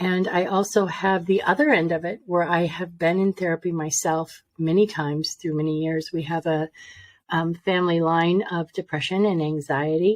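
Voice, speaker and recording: At a moderate pace, a woman talks with a fairly low pitch and fairly even intonation. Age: 60s. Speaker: intuitive reader and life coach. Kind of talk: interview testimony. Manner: halting, with many fillers.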